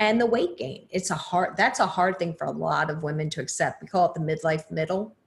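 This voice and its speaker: A woman with an American accent speaks fairly quickly at a fairly low pitch, somewhat breathy, with lively intonation. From New Jersey. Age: 50s. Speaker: podcaster and former lawyer. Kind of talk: interview.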